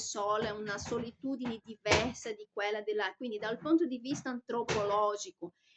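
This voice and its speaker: In a dry, close recording with no echo, a woman with a Brazilian accent and fairly high pitch speaks at a moderate pace with fairly even intonation. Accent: Brazilian Portuguese accent in Italian. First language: Portuguese (speaking Italian). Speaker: vlogger. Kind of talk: personal monologue vlog. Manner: hesitant, with fillers and self-corrections.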